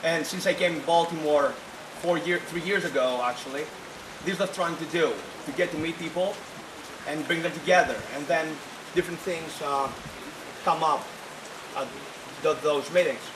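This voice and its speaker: The speaker has a Greek accent and a moderate pace, with fairly even intonation and long, frequent pauses. Audible room echo and noticeable background noise fill the recording. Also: man, high pitch for a man. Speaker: student club president. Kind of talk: reception speech. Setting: reception at private estate, with audience. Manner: halting, many fillers.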